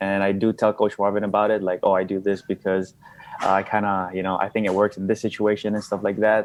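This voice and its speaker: In a Philippine accent, a man speaks with a fairly low pitch. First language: Bisaya. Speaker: amateur boxer. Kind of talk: casual interview. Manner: hesitant, many fillers.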